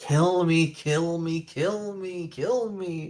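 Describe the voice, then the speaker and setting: A put-on character voice at a middle pitch drags along at a very slow pace. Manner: desperate, shrieking.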